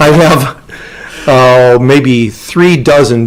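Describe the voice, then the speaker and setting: Noticeable background noise runs under a man whose medium-pitched voice shows ordinary pitch variation. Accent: Upper Midwest. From rural Minnesota. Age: 60s. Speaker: interview guest. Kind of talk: casual interview. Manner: halting, many fillers.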